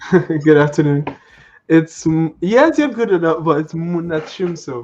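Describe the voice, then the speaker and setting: A man with a Nigerian accent speaks at a fairly slow pace in a fairly high pitch, with ordinary pitch variation. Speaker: network engineer. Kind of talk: interview.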